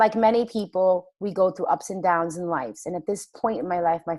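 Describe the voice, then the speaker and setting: A woman speaking at a moderate pace with ordinary pitch variation, on a very clean recording with a silent background. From Queens, New York. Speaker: stay-at-home mom and wellness product promoter. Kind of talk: interview. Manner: animated.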